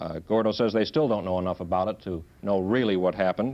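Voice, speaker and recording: The recording is very clean, with a silent background. A man speaks at a fairly quick pace with ordinary pitch variation. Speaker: field news reporter. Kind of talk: 1960s television news report. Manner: hesitant, with frequent fillers.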